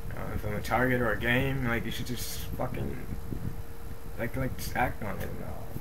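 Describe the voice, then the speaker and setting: Noticeable background noise is present as a man talks at a moderate pace. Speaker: video diarist. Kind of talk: video diary, reading notes to camera. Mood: irritated, dismissive. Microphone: webcam.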